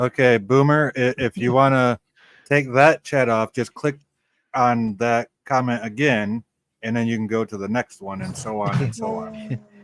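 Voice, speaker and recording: Moderate pace and ordinary pitch variation in a dry, close sound with no echo, with music in the background. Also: man, medium pitch for a man. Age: 40s. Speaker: livestream co-host. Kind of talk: casual chat.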